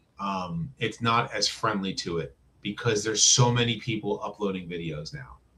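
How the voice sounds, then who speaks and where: In a normal speaking voice, a man with an American accent talks at a moderate pace, his fairly low pitch carrying ordinary variation. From New Jersey. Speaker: YouTuber, toy reviewer. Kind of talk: casual interview chat.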